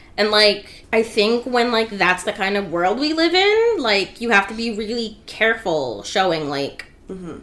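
With an American accent, a woman has an unremarkable speaking voice, talking at a moderate pace and fairly high pitch. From Rhode Island, US. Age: 20s. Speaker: podcast guest, fandom candle maker. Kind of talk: casual chat; episode recap.

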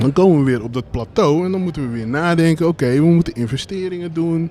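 At a very fast pace, a man with a fairly high pitch talks with ordinary pitch variation. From Brabant, Netherlands. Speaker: streetwear label co-founder. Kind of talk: live interview on stage. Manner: casual, many fillers.

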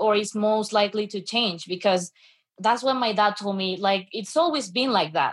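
A woman's fairly high, somewhat breathy voice carries ordinary pitch variation in a very clean recording with a silent background. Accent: Spanish. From Venezuela. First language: Spanish. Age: 20s. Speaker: student and radio assistant producer. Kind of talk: panel discussion.

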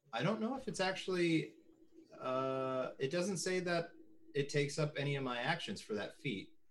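This man has a normal speaking voice, fairly high in pitch, with lively intonation at a moderate pace. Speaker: player.

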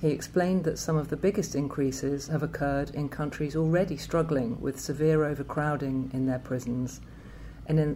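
Her voice is very deep and low, with a dark, mellow tone and vocal fry. This woman talks at a moderate pace with fairly even intonation. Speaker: research institute director and podcast host. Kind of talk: podcast presentation.

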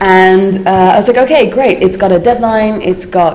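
There is noticeable background noise and audible room echo. A woman speaks with fairly even intonation. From Netherlands. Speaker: animator and teacher. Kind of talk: interview.

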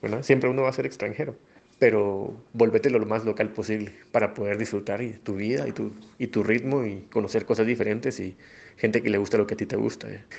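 The voice has vocal fry and fairly even intonation. It moves at a very fast pace. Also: man, fairly low pitch for a man. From Guatemala, Flores, Petén. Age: 30s. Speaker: migrant interviewee, former bank employee. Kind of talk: personal testimony. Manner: hesitant, many fillers.

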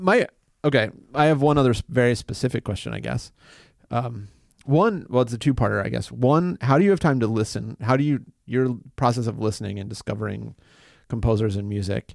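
On a very clean recording with a silent background, a man talks at a fairly quick pace. He has a normal speaking voice, medium in pitch, with lively intonation. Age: 40s. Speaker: podcast host and musician. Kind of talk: casual interview conversation; podcast introduction. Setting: office.

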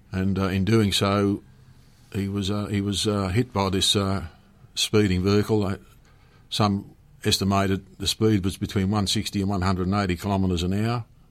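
Spoken with an Australian accent at a moderate pace, the delivery is monotone and flat, broken by long, frequent pauses. The recording is very clean, with a silent background. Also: man. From Penrith, Western Sydney, Australia. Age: 70s. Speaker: retired police commander. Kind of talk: interview. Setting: radio studio. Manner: hesitant, many fillers.

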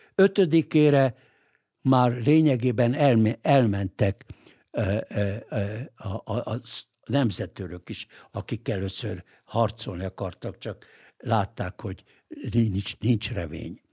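A man's somewhat breathy, dark, mellow voice at a medium pitch, with ordinary pitch variation, a very slow pace and long, frequent pauses, in a dry, close sound with no echo on a very clean recording with a silent background. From Hungary. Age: 80s+. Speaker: lawyer and political writer. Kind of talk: interview. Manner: halting, frequent filler hesitations.

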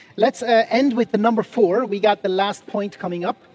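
A man's dry, close sound with no echo, over noticeable background noise. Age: 40s. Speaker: pastor. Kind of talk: sermon. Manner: halting.

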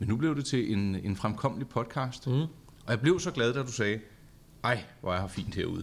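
A man speaks at a moderate pace with lively intonation and a medium pitch. He has an ordinary speaking voice. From Charlottenlund, north of Copenhagen, Denmark. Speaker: podcast host. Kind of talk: casual chat. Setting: studio.

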